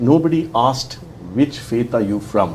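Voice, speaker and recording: A man at medium pitch with lively intonation, over noticeable background noise and audible room echo. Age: 60s. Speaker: author. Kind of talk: interview. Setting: studio.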